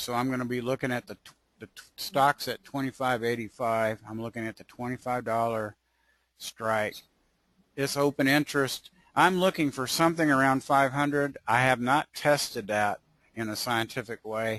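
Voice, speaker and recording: A man with a plain, everyday voice speaks at a medium pitch and a moderate pace, with fairly even intonation and big swings in loudness. The sound is dry and close with no echo, and the background is quiet. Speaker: options trader presenting his strategy. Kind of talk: webinar tutorial.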